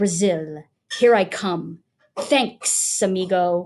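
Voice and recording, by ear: Using a put-on character voice, a woman hisses her words at a medium pitch and a very slow pace.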